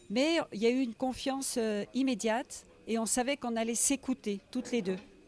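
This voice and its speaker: Captured with a dry, close sound with no echo, a woman of fairly high pitch talks at a moderate pace with ordinary pitch variation. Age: 60s. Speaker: writer, biographer. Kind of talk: interview. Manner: hesitant, with many fillers.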